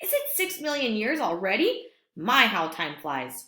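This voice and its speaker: A woman uses a put-on character voice with a high pitch at a moderate pace. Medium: read story. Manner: suspicious, muttering.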